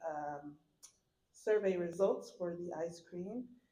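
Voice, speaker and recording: There is audible room echo as a woman speaks. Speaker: dining department staff member. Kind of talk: staff update at a community town hall. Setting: town hall meeting with audience. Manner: hesitant, many fillers.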